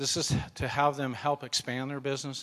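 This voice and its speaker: A man with a fairly high pitch speaks at a moderate pace in a plain, everyday voice. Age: 60s. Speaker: mission trip volunteer. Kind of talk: testimony. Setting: church.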